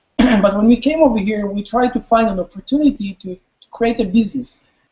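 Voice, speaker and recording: Here a man speaks at an extremely high pitch with ordinary pitch variation and a fairly quick pace. His loudness swings widely. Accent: Israeli. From Israel. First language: Hebrew. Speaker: company CEO. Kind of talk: webinar presentation. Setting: live webinar.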